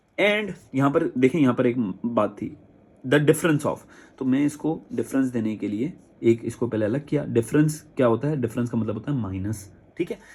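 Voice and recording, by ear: With a slightly husky edge and slightly mellow tone, a man talks at medium pitch and a moderate pace.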